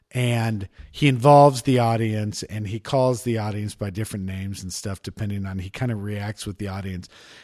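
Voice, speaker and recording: On a very clean recording with a silent background, a man speaks at a medium pitch with a dry, close sound and no echo. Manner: sits back from mic, quieter level.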